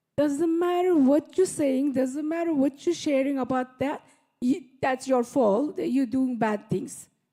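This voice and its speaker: A woman with a non-native accent speaks fairly slowly in a high voice. Her tone is dark and mellow, with ordinary pitch variation. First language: not English. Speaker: audience member. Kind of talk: audience question. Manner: halting.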